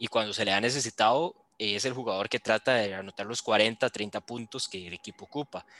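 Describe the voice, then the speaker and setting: Against a quiet background, a man with a medium pitch speaks in a bright, sharp tone. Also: dry, close sound with no echo. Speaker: sports podcast host. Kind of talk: casual sports chat.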